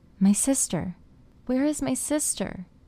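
A female-sounding, high-pitched put-on character voice at a fairly slow pace.

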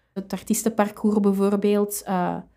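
Recorded very cleanly against a silent background, a woman with a medium pitch speaks at a moderate pace in an unremarkable speaking voice. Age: 30s. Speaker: librarian. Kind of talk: casual interview.

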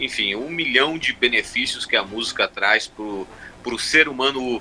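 Noticeable background noise sits behind a man speaking at a fairly slow pace, his pitch medium with ordinary variation. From Brazil, Mato Grosso (Sinop, Cuiabá). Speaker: comedian and blogger. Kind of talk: casual interview. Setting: live stream.

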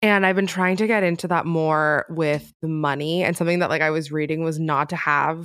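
A woman's very deep, low voice at a fairly quick pace with fairly even intonation, on a very clean recording with a silent background. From US, Cuban immigrant family. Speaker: freelance writer. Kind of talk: casual interview. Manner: long-winded.

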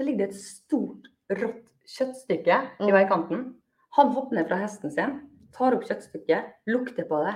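In a normal speaking voice, a woman talks at a moderate pace with fairly high pitch and big swings in loudness. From Norway, Molde. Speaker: high school Spanish and PE teacher. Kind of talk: interview.

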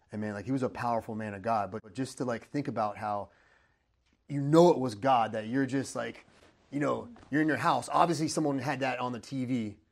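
A man talks with an ordinary speaking voice at a medium pitch and ordinary pitch variation, in a very clean recording with a silent background. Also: fairly quick pace. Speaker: podcast host. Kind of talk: interview.

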